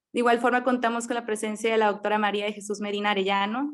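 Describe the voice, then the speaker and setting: The speaker is a woman with a fairly high pitch and fairly even intonation. She talks at a very fast pace. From Mexico, Monterrey, Nuevo León. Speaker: medical resident and forum moderator. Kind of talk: formal introductions of panelists. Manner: formal.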